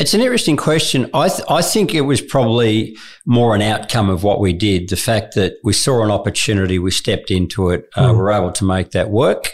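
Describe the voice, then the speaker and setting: With an Australian accent, a man speaks at a fairly quick pace with hardly any pauses, his fairly low pitch carrying lively intonation at very even loudness, on a very clean recording with a silent background. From Australia, regional Victoria (Morwell). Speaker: social enterprise leader and former investment banker. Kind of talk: interview.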